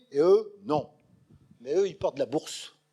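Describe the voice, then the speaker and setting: With lively intonation, a man talks at a fairly slow pace on a very clean recording with a silent background. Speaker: lecturer, retired schoolteacher. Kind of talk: public lecture. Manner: animated.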